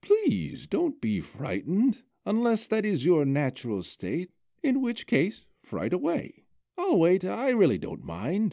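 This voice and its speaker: A man's put-on character voice, high in pitch and at a fairly slow pace. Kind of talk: fantasy story reading. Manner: warm, gentle, whimsical.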